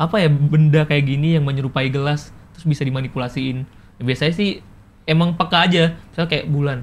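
Fairly high in pitch and somewhat breathy, a man speaks at a very fast pace with fairly even intonation. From Jambi, Sumatra, Indonesia; Indonesia. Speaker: video content creator. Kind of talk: casual interview. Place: studio.

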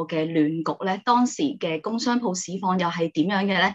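At a moderate pace and with ordinary pitch variation, a woman speaks over a quiet background. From Hong Kong. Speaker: channel host. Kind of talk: interview. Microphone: video call.

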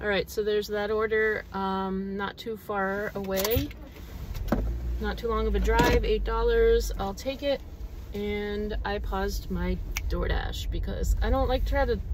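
Against noticeable background noise, a woman speaks at a fairly slow pace in a dry sound with no echo. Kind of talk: casual vlog chat. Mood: relaxed, easygoing. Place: car. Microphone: phone near.

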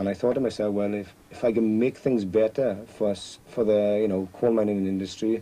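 A man speaks with a South Wales accent in a fairly low voice. His intonation is flat and monotone, and his pace is moderate. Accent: South Wales valleys. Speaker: coal miner. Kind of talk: casual interview.

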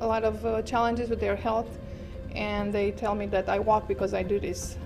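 Moderate-paced speech from a woman, clear music playing behind her. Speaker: yoga instructor. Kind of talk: interview answer. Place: home room.

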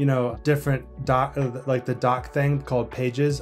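Over faint background music, a man speaks at a moderate pace in a monotone, flat intonation. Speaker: business coach. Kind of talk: coaching call explanation. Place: office. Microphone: webcam.

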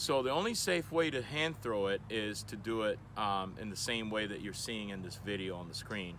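Over light background noise, a man with a normal speaking voice talks at a fairly low pitch and a moderate pace, with lively intonation and hardly any pauses. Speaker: presenter. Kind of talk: tutorial. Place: open country.

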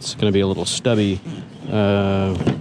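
This man has a fairly low pitch and speaks at a moderate pace. The sound is dry with no echo, and background noise is noticeable. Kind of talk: casual vlog chat. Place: street. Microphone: phone near.

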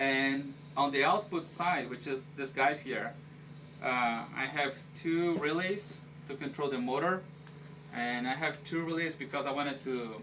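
With long, frequent pauses and fairly even intonation, a man speaks at a fairly slow pace over light background noise. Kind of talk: casual tour explanation. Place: office. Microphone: camera far.

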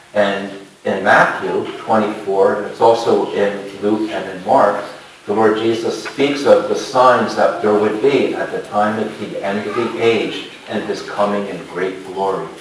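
A man at a fairly slow pace amid strong room echo and light background noise. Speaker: pastor preaching. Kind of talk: sermon. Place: church.

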